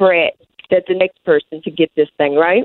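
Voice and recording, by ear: A woman talks at a moderate pace with fairly even intonation and a fairly low pitch. The sound is dry and close, with no echo.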